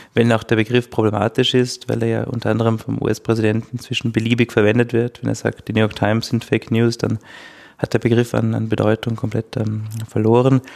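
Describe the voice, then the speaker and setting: A man with an Austrian accent speaks at a fairly quick pace in a medium pitch with monotone, flat intonation, the sound dry and close with no echo. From Austria, Styria. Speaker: legal scholar. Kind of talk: expert interview.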